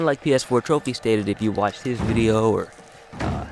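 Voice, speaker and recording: A man at a moderate pace with ordinary pitch variation, music playing in the background. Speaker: gaming YouTuber. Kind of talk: gameplay commentary. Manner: loud.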